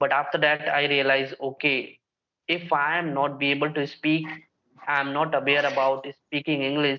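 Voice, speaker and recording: Speaking at a moderate pace, a man uses a fairly high pitch with monotone, flat intonation. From India, Bihar. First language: Bhojpuri. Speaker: English learning YouTuber. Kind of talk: casual conversation practice.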